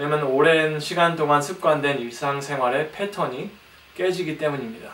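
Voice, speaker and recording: Through audible room echo and noticeable background noise, a man with a non-native accent speaks at a moderate pace in a fairly high pitch with ordinary pitch variation. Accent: non-native Korean. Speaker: guest preacher. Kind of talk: sermon. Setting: church. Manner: halting.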